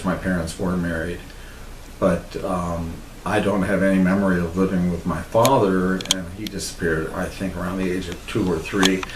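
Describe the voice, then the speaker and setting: A man with an American accent speaks fairly quickly in a very deep, low, monotone voice, with audible room echo and noticeable background noise. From Texas. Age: 60s. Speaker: interviewee telling his life story. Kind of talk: casual autobiographical talk.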